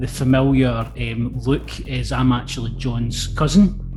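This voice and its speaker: Speaking at a fairly slow pace with a Lanarkshire accent, a man is heard with audible room echo and music in the background. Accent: Scottish (Lanarkshire). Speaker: interviewer. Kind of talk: casual interview. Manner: halting, many repetitions.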